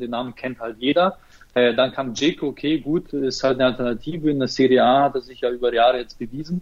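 A man with an unremarkable speaking voice talks at a fairly quick pace, his medium pitch held in fairly even intonation. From Ukraine, moved to Germany as a child. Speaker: football fan page operator. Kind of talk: casual chat.

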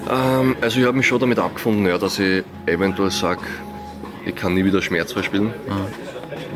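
A man at a moderate pace with ordinary pitch variation, crowd noise in the background. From Austria. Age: 20s. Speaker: professional tennis player. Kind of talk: interview.

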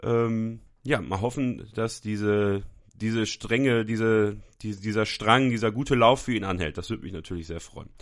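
In a plain, everyday voice, a man with fairly low pitch talks at a moderate pace with ordinary pitch variation and big swings in loudness against a quiet background. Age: 20s. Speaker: football podcast host. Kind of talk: solo football talk show.

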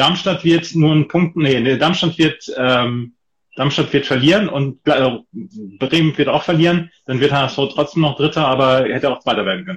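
This man speaks at a fairly high pitch, his voice somewhat breathy. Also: ordinary pitch variation, moderate pace. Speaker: football tipping podcast host. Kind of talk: casual chat. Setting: Instagram live video stream.

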